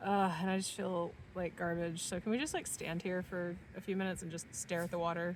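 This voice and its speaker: A woman speaks at a fairly quick pace in a fairly low, flat monotone. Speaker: vlogger. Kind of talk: casual chat. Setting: outdoors. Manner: loud.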